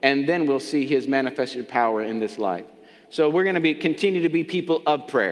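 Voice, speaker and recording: A man speaks at a fairly quick pace. His intonation is lively. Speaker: pastor. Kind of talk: sermon. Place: church.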